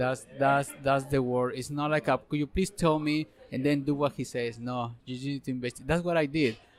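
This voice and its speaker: Using fairly even intonation, a man with a Spanish accent speaks at a fairly high pitch. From Mexico. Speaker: ultrarunner. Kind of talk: interview. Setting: restaurant.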